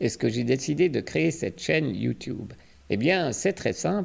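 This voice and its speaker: With vocal fry, a man speaks at a fairly slow pace. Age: 40s. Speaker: crypto YouTuber and coach. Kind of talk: channel introduction monologue.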